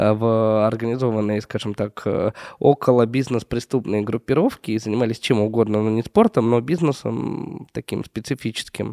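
Recorded very cleanly against a silent background, a man's medium-pitched voice has a dark, mellow tone and a dry, close sound with no echo. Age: 30s. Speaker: podcast co-host, entrepreneur. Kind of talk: casual interview.

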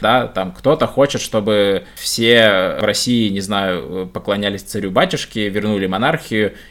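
Speaking at a moderate pace in a normal speaking voice, a man keeps a fairly low pitch that varies in an ordinary way. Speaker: podcast host. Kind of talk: casual chat.

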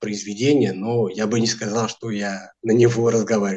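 A man speaks at a medium pitch. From France, Portuguese immigrant family. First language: Portuguese and French (speaking Russian). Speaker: language teacher. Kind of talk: interview.

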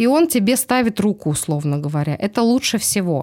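A woman talks at a moderate pace in a medium pitch, with lively intonation and a normal speaking voice. The recording is very clean against a silent background. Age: 40s. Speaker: speech therapist. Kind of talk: casual chat.

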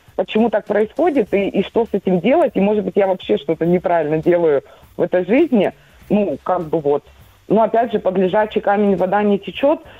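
This woman has a plain, everyday voice with medium pitch and lively intonation. She talks at a fairly quick pace with very even loudness. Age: 40s. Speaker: caller. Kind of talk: phone-in personal question.

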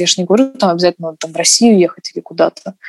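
Her voice is medium-pitched with a dark, mellow tone and ordinary pitch variation. The woman's sound is dry and close with no echo. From Russia. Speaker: dancer. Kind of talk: casual chat.

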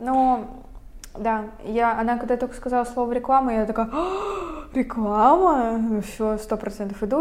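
At a moderate pace, a woman with an ordinary speaking voice keeps a fairly high pitch and fairly even intonation. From Russia, Veliky Novgorod. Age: young. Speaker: podcast co-host, university student. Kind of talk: casual chat.

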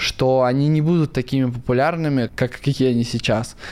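Speaking at a moderate pace, this man has a medium pitch that varies in an ordinary way. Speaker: crypto investor and blogger. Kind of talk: casual interview.

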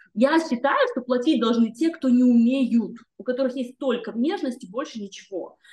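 A woman talks at a fairly quick pace. Her voice is high, with ordinary pitch variation. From northern Kazakhstan. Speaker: magazine editor and singer. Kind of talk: casual interview chat.

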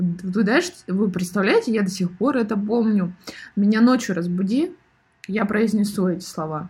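Her tone is animated, her voice somewhat breathy and medium-pitched with ordinary pitch variation. The woman speaks at a moderate pace. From Siberia, Irkutsk. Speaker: podcast host. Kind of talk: monologue podcast.

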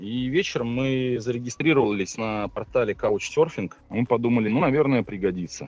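A man talks at a moderate pace and a medium pitch. He has a normal speaking voice. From Russia, Tver. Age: 30s. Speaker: motorcycle traveler, trampoline gym owner. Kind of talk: casual interview.

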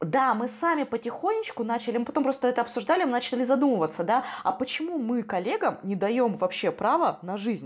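A woman speaks at a fairly quick pace in a high voice, her intonation lively. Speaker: corporate training manager. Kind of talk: casual chat. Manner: animated.

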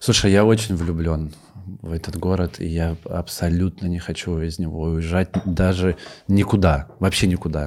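Very deep, low tones from a man, intonation fairly even. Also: moderate pace. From Russian village. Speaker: stand-up comedian. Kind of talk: casual chat. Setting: studio.

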